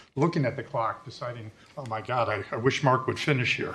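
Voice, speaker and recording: Noticeable noise sits in the background. Over it, a man talks very fast with ordinary pitch variation. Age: 60s. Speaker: resident speaking at public comment. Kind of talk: public comment at a board meeting. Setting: public meeting room. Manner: casual, joking.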